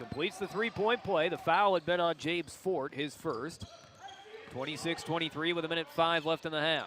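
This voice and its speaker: A man's high-pitched voice at a fairly quick pace over noticeable background noise. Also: ordinary pitch variation. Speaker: sports play-by-play announcer. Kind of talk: basketball play-by-play commentary. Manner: fast, energetic.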